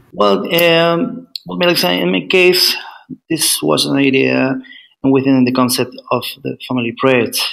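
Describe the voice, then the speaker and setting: A man speaks with a Spanish accent. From Chile. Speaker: PhD student. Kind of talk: interview. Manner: halting.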